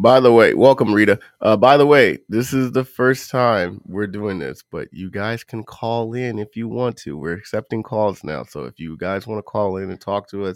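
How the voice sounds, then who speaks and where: A plain, everyday voice with big swings in loudness, a moderate pace, ordinary pitch variation and hardly any pauses. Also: man, fairly low pitch for a man. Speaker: true crime podcast co-host. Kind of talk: casual chat. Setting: live stream.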